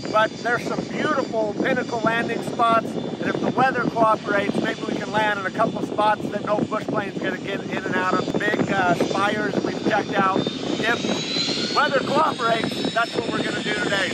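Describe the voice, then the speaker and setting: A man speaks at a moderate pace with hardly any pauses, the sound dry with no echo under loud background noise. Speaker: pilot vlogger. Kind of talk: casual vlog chat. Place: open country. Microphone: phone near.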